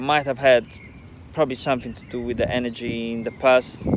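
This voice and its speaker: Over noticeable background noise, a man with a non-native accent speaks at a medium pitch and a fairly quick pace. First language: not English. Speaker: spiritual vlogger. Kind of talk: casual monologue. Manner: halting.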